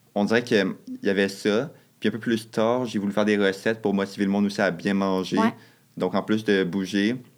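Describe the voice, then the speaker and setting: The man's intonation is monotone and flat, and his loudness stays very even. He talks at a fairly quick pace with a fairly low pitch. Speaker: nursing student. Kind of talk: casual chat. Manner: fast.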